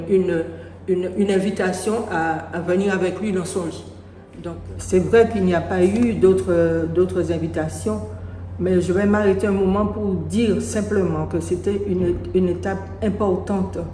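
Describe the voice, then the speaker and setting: The recording has audible room echo and noticeable background noise. A woman speaks at a fairly slow pace. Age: 70s. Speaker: parishioner giving testimony. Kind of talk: testimony. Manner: halting.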